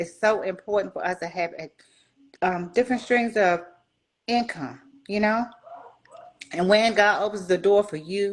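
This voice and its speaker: The woman in this clip speaks at a moderate pace. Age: 60s. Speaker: retired soldier and grief coach. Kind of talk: interview.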